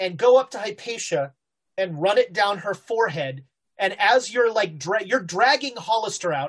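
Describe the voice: Against a quiet background, the voice reads plainly aloud with lively intonation.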